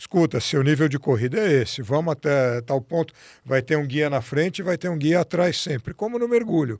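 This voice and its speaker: An unremarkable speaking voice belongs to this man, pitched fairly high with lively intonation at a moderate pace. The recording is very clean with a silent background and a dry, close sound with no echo. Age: 60s. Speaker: physician and diving instructor. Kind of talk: interview.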